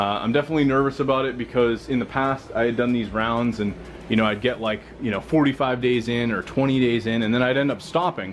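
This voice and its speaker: A man's medium-pitched voice at a very fast pace with ordinary pitch variation and noticeable background noise. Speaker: fitness vlogger. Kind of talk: casual video blog. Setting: at home.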